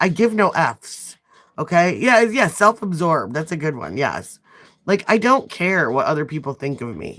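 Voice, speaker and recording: The speaker talks at a moderate pace with a strong Midwestern US accent. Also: woman, very clean recording, silent background. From US Midwest. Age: 40s. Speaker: nail artist livestreamer. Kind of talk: casual livestream chat. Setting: livestream.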